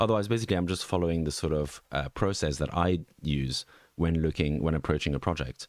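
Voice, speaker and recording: On a very clean recording with a silent background, a man with a very deep, low pitch and a slight Swiss French accent speaks very fast, his loudness very even and his pitch varying in an ordinary way. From French-speaking Switzerland. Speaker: NFT market analyst. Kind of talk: live stream market review. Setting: live stream from home. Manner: halting, many fillers.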